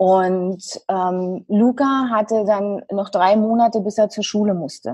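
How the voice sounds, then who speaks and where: A woman speaks at a very slow pace in a medium pitch, with ordinary pitch variation against a quiet background. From Germany, Brandenburg. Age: 30s. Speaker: dance therapist and coach. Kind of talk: interview.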